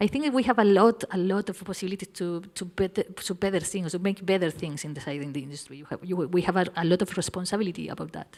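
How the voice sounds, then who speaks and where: A woman with a Spanish accent speaks at a very fast pace and medium pitch, her loudness swinging widely. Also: ordinary pitch variation. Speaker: music industry panelist. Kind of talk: panel discussion. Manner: halting, repeats words.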